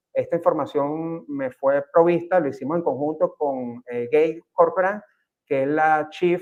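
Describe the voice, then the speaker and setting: A man speaks with a Venezuelan accent. His voice sits at a fairly high pitch. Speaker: real estate agent. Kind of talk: panel talk. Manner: halting, many fillers.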